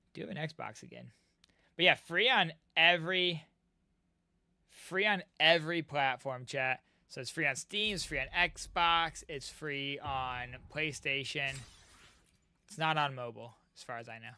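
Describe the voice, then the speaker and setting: Pausing long and often at a fairly slow pace, a man speaks in a fairly high pitch with a bright, sharp tone, ordinary pitch variation and big swings in loudness. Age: 30s. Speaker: gaming streamer. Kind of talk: casual live stream chat. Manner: animated.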